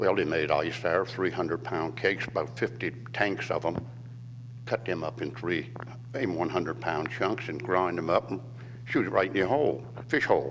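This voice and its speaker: With noticeable background noise, a man with a very deep, low voice talks at a moderate pace, his pitch swinging very widely. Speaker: retired waterman. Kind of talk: reminiscing talk to museum audience. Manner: halting, with many fillers.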